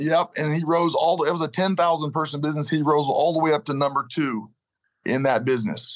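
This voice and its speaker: A man with a normal speaking voice, fairly high in pitch, talks at a fairly quick pace with ordinary pitch variation over a quiet background. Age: 50s. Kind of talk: interview. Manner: storytelling.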